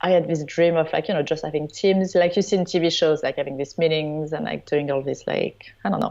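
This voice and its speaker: A woman with a French accent talks at a very fast pace with hardly any pauses, her pitch fairly low and its variation ordinary. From southern France (Provence). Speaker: wedding photographer. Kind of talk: interview.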